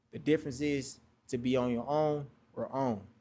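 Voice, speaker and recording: With fairly even intonation and a medium pitch, this man has an ordinary speaking voice. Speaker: spoken word poet. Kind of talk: spoken word poetry performance.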